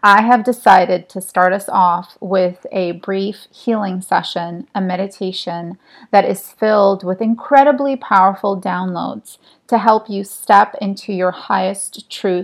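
At a fairly slow pace and medium pitch, a woman speaks with fairly even intonation against a quiet background. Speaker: meditation guide and energy healer. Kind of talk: guided meditation. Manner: slow, soothing, calm and hypnotic, counting down; soft-spoken, gentle, reassuring.

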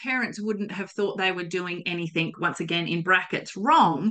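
Moderately paced speech in an Australian accent. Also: woman. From South Australia, Coonawarra. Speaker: podcast host. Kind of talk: casual interview.

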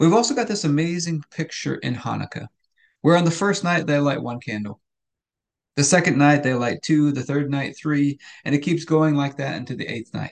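A man's fairly high-pitched voice at a moderate pace with ordinary pitch variation, a plain, everyday voice. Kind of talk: fervent prayer, earnest spoken petition to God; daily devotional meditation. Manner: earnest, heartfelt, steady and pleading.

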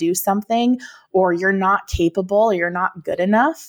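A normal speaking voice with an American accent, recorded with a dry, close sound and no echo. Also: woman. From Minnesota. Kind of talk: interview conversation.

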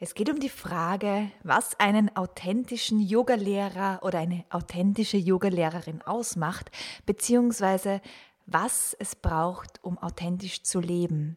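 The recording is very clean with a silent background. A woman of medium pitch talks at a fairly slow pace with ordinary pitch variation. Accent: Austrian. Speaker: podcast host. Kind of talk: scripted intro. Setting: studio.

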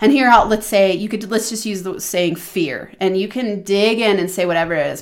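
This woman has a normal speaking voice. She talks at a moderate pace with ordinary pitch variation. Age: 40s. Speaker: podcast host and money mindset coach. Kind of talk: solo podcast teaching monologue.

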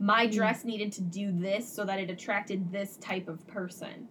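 The woman's pitch is medium. Noticeable background noise sits beneath her speech. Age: 30s. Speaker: psychotherapist and podcast co-host. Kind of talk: casual chat.

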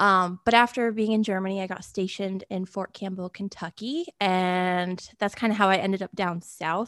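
With a normal speaking voice and an American accent, a woman at a medium pitch speaks at a moderate pace with hardly any pauses and fairly even intonation, in a dry, close sound with no echo and a quiet background. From Connecticut, US Northeast. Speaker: horse show photographer and Army veteran. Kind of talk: casual interview.

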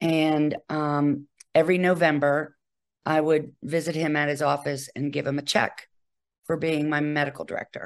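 Against a quiet background, a woman with an American accent speaks at a very deep, low pitch and a moderate pace in a monotone, flat intonation. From Virginia, US. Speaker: hospice nurse. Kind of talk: interview.

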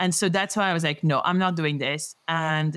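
The background is silent and the recording very clean. A woman talks in a French accent. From France, Paris. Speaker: rheumatologist. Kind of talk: interview.

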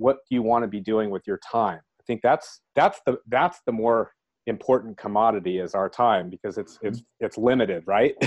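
An American-accented man at a moderate pace and medium pitch, an ordinary speaking voice, over a quiet background. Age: 50s. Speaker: real estate investor. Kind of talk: interview.

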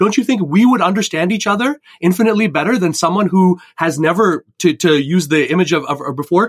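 At a very fast pace and with hardly any pauses, a man speaks at a high pitch with lively intonation. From Canada, Indian immigrant family. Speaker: career coach. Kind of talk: podcast interview.

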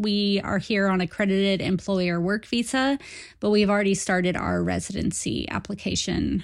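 Recorded very cleanly against a silent background, a woman speaks at a moderate pace in an unremarkable speaking voice. Her pitch is medium, with ordinary variation. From United States. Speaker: emigrant to New Zealand, writer. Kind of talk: recorded voice message.

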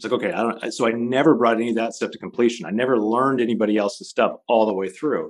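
Talking very fast with hardly any pauses, a man keeps a medium pitch and ordinary pitch variation. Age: 40s. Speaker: futurist consultant. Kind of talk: interview.

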